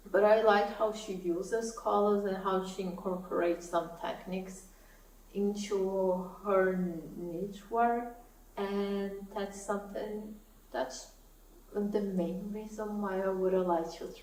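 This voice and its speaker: Over noticeable background noise and audible room echo, a woman speaks at a very slow pace with a medium pitch and monotone, flat intonation. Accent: Portuguese. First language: Portuguese. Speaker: knitting YouTuber. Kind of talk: casual vlog talk to camera.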